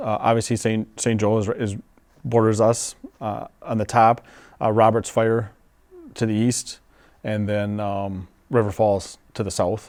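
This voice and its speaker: A man with an Upper Midwest accent, medium pitch and a moderate pace. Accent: Upper Midwest American. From western Wisconsin, Menomonie. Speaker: fire chief. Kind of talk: interview.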